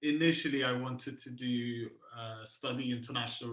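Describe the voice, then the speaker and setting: A man speaks at a medium pitch and a moderate pace. His tone is bright and sharp, with monotone, flat intonation. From Iran, moved to UK at eight. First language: Persian. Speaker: agency founder. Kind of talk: podcast interview.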